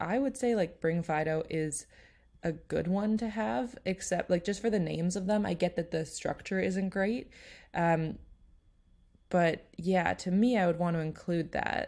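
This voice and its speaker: A woman's fairly low, dark, mellow voice with ordinary pitch variation at a moderate pace, on a very clean recording with a silent background. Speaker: SEO blogger and YouTuber. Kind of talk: tutorial. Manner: casual, conversational.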